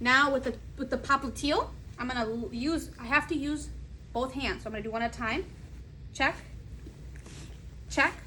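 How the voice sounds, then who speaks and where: Raising and projecting her high voice, a woman speaks at a moderate pace with ordinary pitch variation and long, frequent pauses. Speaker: student nurse. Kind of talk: narrated clinical skills assessment. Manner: occasionally stumbling over words.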